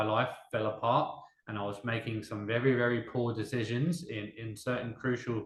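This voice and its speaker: In an English accent, a man speaks at a medium pitch and a moderate pace with fairly even intonation and audible room echo. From Denmark, half English. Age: 30s. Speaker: interviewee, small business owner. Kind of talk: interview testimony.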